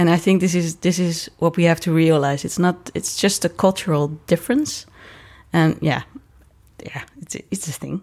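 Speaking at a moderate pace with fairly even intonation, a woman with a Dutch accent is heard in a very clean recording with a silent background. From Netherlands. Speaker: circus director. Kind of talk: interview. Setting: dressing room.

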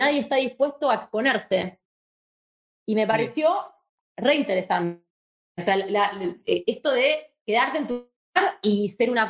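A high-pitched woman's voice at a moderate pace with very wide pitch swings. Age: 30s. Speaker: advertising strategist. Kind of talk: casual interview.

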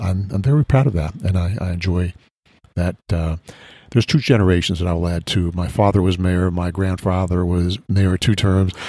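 Somewhat breathy, a man with a very deep, low pitch and a dark, mellow tone talks at a fairly quick pace with fairly even intonation. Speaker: business owner, conservatory CEO. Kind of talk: casual interview chat. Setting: on location at a butterfly conservatory. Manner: mild-mannered with bursts of passion.

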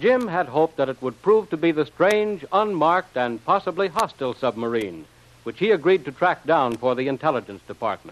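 Speaking fairly quickly, a man uses an ordinary speaking voice at a fairly high pitch. His intonation is lively. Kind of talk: vintage radio drama announcer narration. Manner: formal, crisp, announcer-like.

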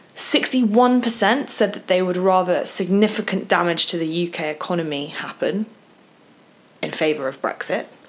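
At a fairly slow pace, a woman speaks at medium pitch with lively intonation over noticeable background noise. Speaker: podcast co-host. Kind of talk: casual chat.

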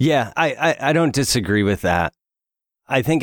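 Lively intonation in a dry, close sound with no echo, on a very clean recording with a silent background. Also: man. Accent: American. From US South, Alabama. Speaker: wellness coach. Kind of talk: casual chat.

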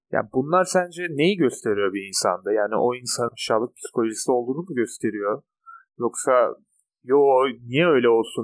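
This man talks at a moderate pace in a normal speaking voice of medium pitch, with lively intonation. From Turkey. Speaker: podcast co-host. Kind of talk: casual chat.

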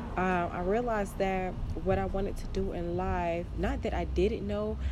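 Audible room echo around a woman speaking at a moderate pace. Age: 20s. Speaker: podcast host. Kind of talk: personal diary monologue. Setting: outdoors. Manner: casual, hesitant with many fillers.

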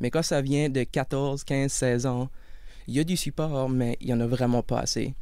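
A man speaks at a fairly slow pace in a medium pitch, his delivery monotone and flat, his loudness very even, with audible echo from the room. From Acadian Peninsula, New Brunswick. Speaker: support worker and criminology student. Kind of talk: interview. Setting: studio.

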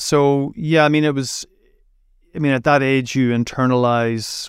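A voice with a Derry accent, fairly even intonation and a moderate pace, in a very clean recording with a silent background. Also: man. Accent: Northern Irish (Derry). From Northern Ireland, Derry. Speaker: journalist. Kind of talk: interview. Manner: halting, with repetitions.

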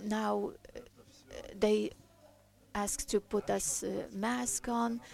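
A very slow pace from a woman. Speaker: preacher. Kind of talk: sermon. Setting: church. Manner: halting, repeats words; passionate, shouting.

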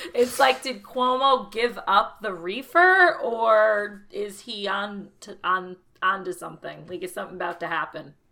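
Using a bright, sharp tone and an American accent, a woman speaks at a fairly slow pace with hardly any pauses, a medium pitch, lively intonation and big swings in loudness. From Connecticut, US Northeast. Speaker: podcast co-host. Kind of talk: casual chat.

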